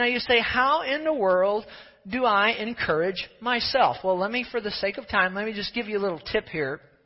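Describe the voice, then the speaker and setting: This man's voice is high-pitched and his pitch varies in an ordinary way. He talks at a moderate pace. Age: 50s. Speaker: pastor. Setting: church service with live congregation. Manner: brisk, hurrying along for the sake of time.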